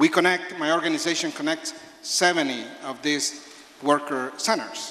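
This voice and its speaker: A man with a Spanish accent, fairly high pitch and fairly even intonation, amid noticeable background noise and audible room echo. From El Salvador. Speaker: labor organizer. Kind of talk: speech at a town hall. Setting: town hall with audience.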